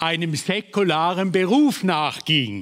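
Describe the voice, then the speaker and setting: A man with a high pitch talks at a very slow pace, his pitch varying in an ordinary way. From Switzerland. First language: Swiss German (speaking German). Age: 70s. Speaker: preacher, Bible school founder. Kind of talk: sermon.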